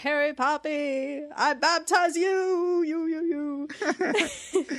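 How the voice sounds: In a put-on character voice, the speaker is loud and high-pitched, talking very slowly with fairly even intonation.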